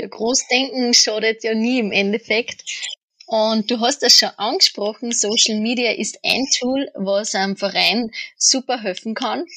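This woman has a plain, everyday voice with a fairly high pitch. She talks at a fairly slow pace with ordinary pitch variation. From Austria. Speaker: podcast co-host interviewing. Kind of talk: interview.

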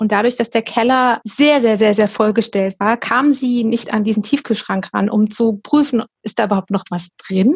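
A woman talks with hardly any pauses in a fairly high, somewhat breathy voice. The sound is dry and close, with no echo. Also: ordinary pitch variation, moderate pace. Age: 40s. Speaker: professional organizing and decluttering coach. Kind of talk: interview.

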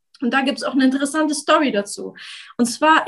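At a very fast pace, a woman talks in a high pitch with ordinary pitch variation. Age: 30s. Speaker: career coach and application writer. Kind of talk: interview. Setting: video call.

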